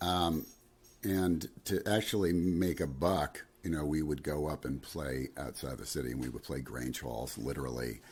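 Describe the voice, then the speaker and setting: Vocal fry colors this voice with an American accent. The pace is moderate, with ordinary pitch variation. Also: man, very deep, low pitch for a man. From New Jersey. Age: 60s. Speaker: singer-songwriter and guitarist. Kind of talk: casual interview chat.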